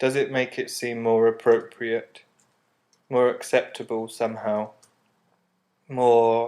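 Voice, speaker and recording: With a serious tone, a man speaks at a very slow pace, leaving long, frequent pauses. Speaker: artist. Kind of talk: scripted narration. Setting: apartment with windows open. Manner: serious melancholic tone.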